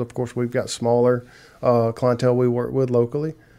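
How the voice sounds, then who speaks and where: Medium-pitched, a man speaks with a Southern US accent. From South Carolina. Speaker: marketing agency co-owner. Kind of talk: interview conversation.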